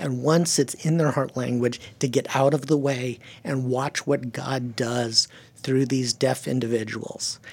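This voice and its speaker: A man speaks at medium pitch with fairly even intonation. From California, German-speaking home. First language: German. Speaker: missionary to the deaf. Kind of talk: interview.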